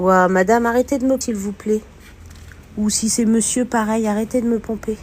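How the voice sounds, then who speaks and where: Noticeable background noise sits under a woman's voice. She speaks at a moderate pace with a fairly high pitch. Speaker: urban explorer and spiritual medium streamer. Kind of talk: live stream commentary while exploring. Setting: abandoned house, live stream. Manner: animated.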